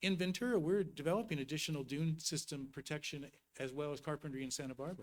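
Speaking at a very fast pace, a man uses a fairly high pitch with ordinary pitch variation. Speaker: regional coastal planning agency representative. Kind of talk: presentation to city council. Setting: city council meeting.

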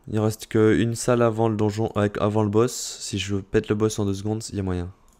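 A man with a fairly low pitch talks in a very clean recording with a silent background. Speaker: gaming YouTuber and streamer. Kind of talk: gameplay tutorial commentary. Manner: loud; clear articulation.

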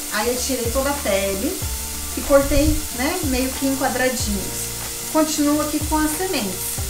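A woman speaks at a fairly slow pace while clear music plays behind her. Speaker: home cook host. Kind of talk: cooking tutorial. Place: kitchen.

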